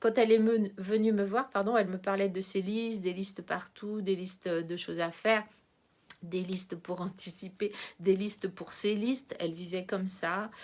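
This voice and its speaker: A woman at medium pitch and moderate pace, her intonation fairly even. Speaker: numerologist and coach. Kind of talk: informal educational monologue to camera. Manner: hesitant, many filler sounds.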